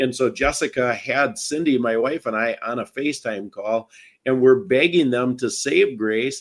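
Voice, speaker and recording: Recorded very cleanly against a silent background, a man talks at a moderate pace with a medium pitch. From Wisconsin. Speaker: bereaved parent and advocate. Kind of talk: interview testimony.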